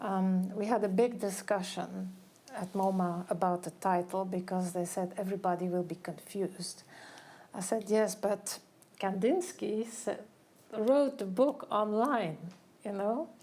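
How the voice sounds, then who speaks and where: A woman uses a plain, everyday voice at medium pitch, with ordinary pitch variation and a fairly slow pace. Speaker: curator and art historian. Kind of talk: public talk. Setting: gallery event with audience.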